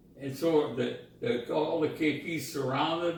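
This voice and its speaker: This man's voice is fairly high, with ordinary pitch variation. There is noticeable background noise. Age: 80s+. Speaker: war veteran. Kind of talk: interview answer.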